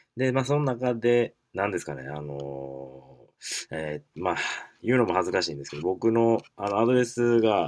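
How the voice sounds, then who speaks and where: A man's fairly low voice at a moderate pace, with very wide pitch swings. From Kansai, Japan. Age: 20s. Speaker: podcast host. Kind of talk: casual solo talk. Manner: halting, many fillers.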